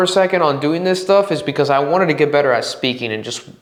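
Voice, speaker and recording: Over noticeable background noise and audible room echo, a man talks in an animated tone with lively intonation. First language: Spanish. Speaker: podcast host. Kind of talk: casual monologue. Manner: halting.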